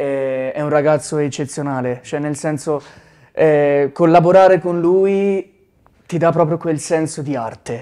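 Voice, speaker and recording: A man's dark, mellow voice, fairly high in pitch, with fairly even intonation and a fairly slow pace against a quiet background. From Tuscany, Arezzo province (Sansepolcro). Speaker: musician, band member. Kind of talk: interview. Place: studio. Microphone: lapel.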